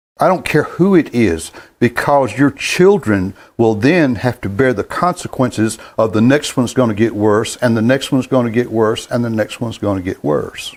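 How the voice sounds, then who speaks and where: Lively intonation marks this man's medium-pitched speech at a moderate pace. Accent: North Carolina. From US South, North Carolina. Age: 70s. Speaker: gospel music show host. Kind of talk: monologue to online viewers, commentary. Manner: halting, repeats words.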